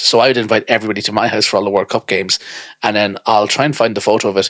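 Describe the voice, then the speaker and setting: Recorded dry and close with no echo, a man with an Irish accent speaks at a medium pitch in a bright, sharp tone. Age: 30s. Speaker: podcast co-host. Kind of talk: casual chat. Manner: animated.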